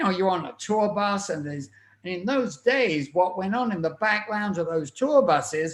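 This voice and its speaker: An English accent is heard in this speech. It moves at a moderate pace. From England (Plymouth). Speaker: music artist manager, former tour manager. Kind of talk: interview storytelling. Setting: webcast/podcast.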